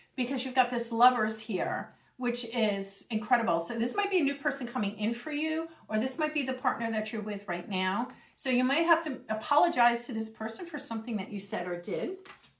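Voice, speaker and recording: Against noticeable background noise, a woman with a high pitch talks at a fairly quick pace with lively intonation. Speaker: tarot reader. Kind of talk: tarot reading monologue. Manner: fast; animated.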